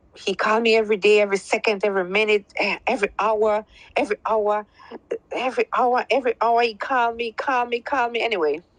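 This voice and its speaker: Speaking at a very fast pace in a Belizean accent, a woman has a fairly high pitch and fairly even intonation. Her loudness stays very even, and the sound is dry and close with no echo. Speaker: caller. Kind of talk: testimony.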